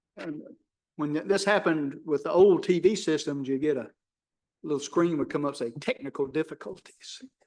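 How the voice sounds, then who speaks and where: This man speaks with a Tennessee accent. His pace is moderate and his pitch varies in an ordinary way. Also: fairly high pitch for a man. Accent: Southern US (Tennessee). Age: old. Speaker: planning commission chair. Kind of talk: public meeting. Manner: loud.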